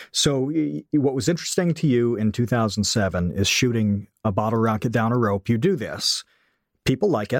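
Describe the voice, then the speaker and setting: In an unremarkable speaking voice, a man talks at a medium pitch and moderate pace, with very even loudness and a dry, close sound with no echo. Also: lively intonation, very clean recording, silent background. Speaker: podcast co-host. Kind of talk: casual interview chat.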